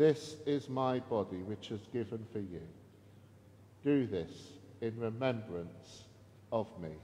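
Slow and dark, a man's mellow voice moves at a very slow pace with lively intonation and long, frequent pauses over light background noise. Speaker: priest. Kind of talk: Anglican Eucharist service: the priest leads liturgical prayer. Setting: church service streamed online. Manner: formal, measured, solemn, reverent liturgical delivery, with warm informal asides. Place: church.

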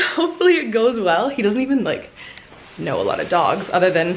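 A woman's voice makes very wide pitch swings. Light background noise sits behind it. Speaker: vlogger. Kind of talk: casual vlog chat. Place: home room. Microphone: phone near.

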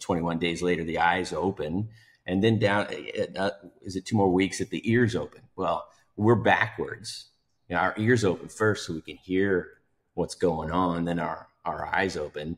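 With a very deep, low pitch and fairly even intonation, a man speaks at a moderate pace over a quiet background. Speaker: podcast guest. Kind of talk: podcast discussion. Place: home room. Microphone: video call.

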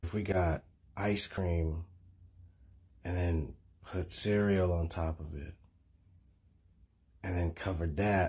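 A man with a very deep, low pitch talks at a very slow pace, somewhat breathy and in a monotone, flat intonation, with long, frequent pauses. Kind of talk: comedy sketch dialogue. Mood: laid-back, sleepy persuasion. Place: home room. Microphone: phone near.

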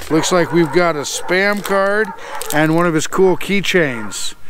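Recorded dry with no echo and light background noise, a man speaks at a fairly slow pace. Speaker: motorcycle vlogger. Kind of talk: casual vlog chat. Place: open country.

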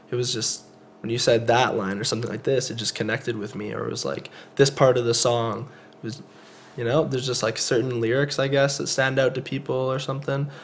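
With a Canadian accent, a man talks at a fairly quick pace and a medium pitch, with fairly even intonation over noticeable background noise. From Canada, Calgary. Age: 20s. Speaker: rapper. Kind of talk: casual chat.

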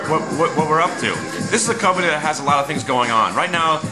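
Clear music plays behind a man talking very fast with ordinary pitch variation. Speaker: amateur stock commentator. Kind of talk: casual vlog commentary. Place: home room. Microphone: webcam.

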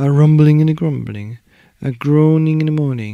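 With a dark, mellow tone, a man speaks through vocal fry.

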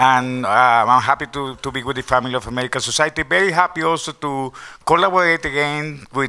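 His tone is bright and sharp, with ordinary pitch variation. The man keeps a moderate pace. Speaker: exhibition curator and panel moderator; panel moderator. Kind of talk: panel discussion. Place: hall. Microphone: handheld.

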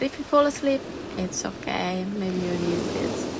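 A woman talks over noticeable background noise. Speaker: meditation guide. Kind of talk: guided meditation.

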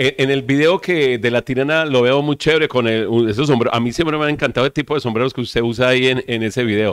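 Against a quiet background, the speech rushes at a very fast pace in a dry sound with no echo. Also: man. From Colombia, Valle del Cauca. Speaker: web TV host. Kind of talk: interview. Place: studio.

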